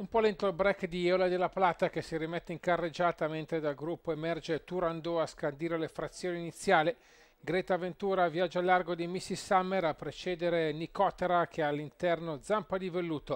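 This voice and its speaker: A man with a high pitch talks at a fairly quick pace in an excited tone, with a dry, close sound and no echo. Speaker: horse racing commentator. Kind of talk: live race commentary. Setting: racetrack commentary. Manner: fast, rhythmic, building to an excited, punchy finish.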